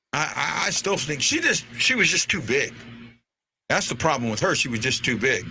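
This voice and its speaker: A man with a St. Louis accent at a moderate pace. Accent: St. Louis accent, says 'warsh' for wash. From St. Louis, Missouri (North St. Louis). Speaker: sports fan show host. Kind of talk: casual chat. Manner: halting, repeats words.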